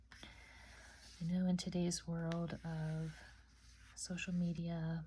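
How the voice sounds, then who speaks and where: This woman is soft-spoken. Her tone is calm. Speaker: ASMR oracle card reader. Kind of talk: oracle card reading. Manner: soft-spoken, calm.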